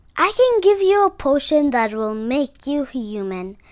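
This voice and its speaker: Putting on a character voice, a woman speaks at a moderate pace with high pitch and very wide pitch swings. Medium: read story.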